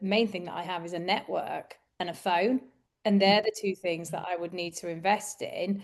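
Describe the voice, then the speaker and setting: This is a woman speaking. She has a Yorkshire accent. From northern England, Yorkshire. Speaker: recruitment business coach. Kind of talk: podcast conversation.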